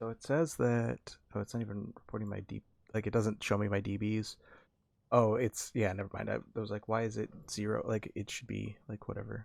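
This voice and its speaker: A soft-spoken man talks at a fairly quick pace on a very clean recording with a silent background. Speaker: video game streamer. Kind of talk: live gameplay commentary.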